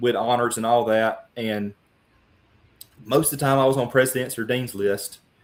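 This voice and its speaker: A man with a Louisiana accent at a moderate pace. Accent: Louisiana Southern accent, noticeable. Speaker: congressional candidate. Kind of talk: interview. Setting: live broadcast. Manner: animated.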